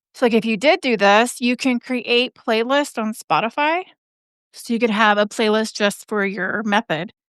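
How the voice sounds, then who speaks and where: Dry and close with no echo, a woman with an unremarkable speaking voice talks at a moderate pace, her fairly high pitch showing ordinary variation. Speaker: podcast growth coach. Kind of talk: live coaching session.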